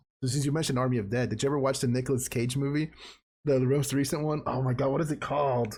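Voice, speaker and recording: Speaking very fast, a man keeps a medium pitch, a monotone, flat intonation and very even loudness, his voice somewhat breathy. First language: Spanish. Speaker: podcast co-host. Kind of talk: casual chat.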